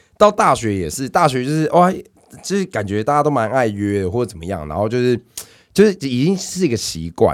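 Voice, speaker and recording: In a Taiwanese accent, a man at a medium pitch talks fairly quickly in an animated tone with very wide pitch swings. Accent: Taiwanese Mandarin. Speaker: podcast co-host. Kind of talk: casual chat.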